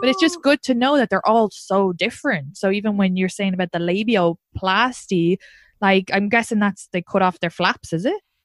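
Recorded with a dry, close sound and no echo, a woman with an Irish accent speaks at a moderate pace, medium in pitch with ordinary pitch variation. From Ireland. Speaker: comedian. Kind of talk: casual chat. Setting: video call. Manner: animated.

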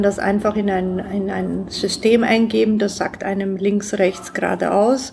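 Here a woman speaks at a medium pitch and a fairly slow pace. Her intonation stays monotone and flat. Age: 40s. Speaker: innovator and entrepreneur. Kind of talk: interview.

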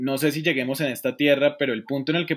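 Recorded with a dry, close sound and no echo, a man speaks in a Colombian accent. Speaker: economist and business consultant. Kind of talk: casual interview.

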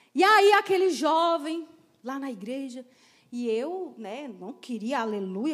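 With lively intonation, a woman delivers her words in an animated tone. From Ceará, Brazil (Crateús). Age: 40s. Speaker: pastor. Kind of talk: sermon.

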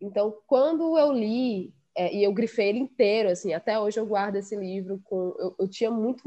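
Using an ordinary speaking voice, a woman talks at a fairly high pitch and a fairly quick pace with ordinary pitch variation. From Ceará backcountry, Quixadá. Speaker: podcast guest, literature lover. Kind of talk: casual chat.

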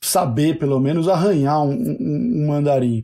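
A man talks at a fairly slow pace with a fairly high pitch. His voice is somewhat breathy with a dark, mellow tone. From Brazil, São Paulo. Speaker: university admissions staff, sociologist. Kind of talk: interview. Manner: hesitant, repeats words.

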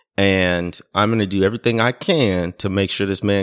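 A man speaks at a moderate pace in a fairly low pitch with fairly even intonation. The recording is very clean, with a silent background. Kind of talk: casual chat.

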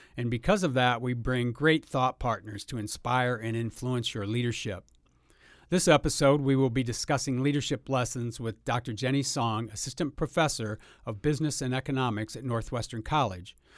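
This man has a normal speaking voice, medium in pitch with ordinary variation. He talks at a moderate pace on a very clean recording with a silent background. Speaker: podcast host. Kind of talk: casual interview.

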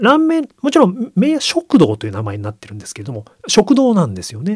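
At a fairly quick clip, a man talks with a somewhat breathy sound. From Yokohama, Japan. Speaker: magazine editor-in-chief. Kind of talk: radio interview. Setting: radio studio.

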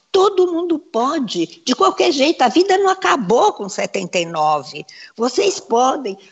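Her pitch swinging very widely, this woman talks at a very slow pace. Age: 70s. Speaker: fashion designer. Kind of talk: casual chat. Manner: animated.

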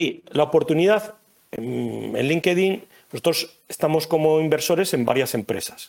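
Vocal fry colors this man's speech. His intonation stays lively throughout. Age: 40s. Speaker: food blogger and entrepreneur. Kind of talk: casual interview.

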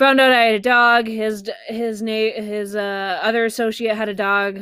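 Her tone bright and sharp, a woman speaks with monotone, flat intonation. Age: 20s. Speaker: podcast host. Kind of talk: casual monologue.

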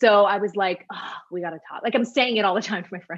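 With ordinary pitch variation, this woman talks at a medium pitch. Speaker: former TV news anchor, podcaster. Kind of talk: casual interview conversation. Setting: phone or video call from Florida.

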